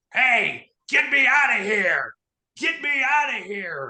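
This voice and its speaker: High-pitched and gravelly, this put-on character voice moves at a fairly slow pace. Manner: shouting, panicked.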